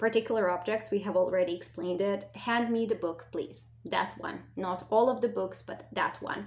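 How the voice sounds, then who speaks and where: Vocal fry and lively intonation, in a non-native accent. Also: woman, medium pitch for a woman, moderate pace. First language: not English. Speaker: language teacher. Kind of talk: lesson.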